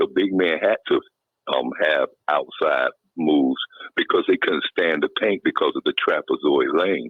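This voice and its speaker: Speaking at a fairly slow pace in a North Carolina accent, a man keeps his loudness very even. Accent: Southern US (North Carolina). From US South, Kinston, North Carolina. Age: 60s. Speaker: caller. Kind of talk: phone-in call. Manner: halting, many fillers.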